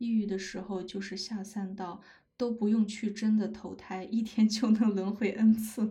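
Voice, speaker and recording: Fairly high-pitched woman, somewhat breathy, with a dark, mellow tone, fairly even intonation and a fairly slow pace, plus audible room echo. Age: 30s. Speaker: podcaster, anthropology PhD student. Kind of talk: casual livestream talk. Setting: livestream.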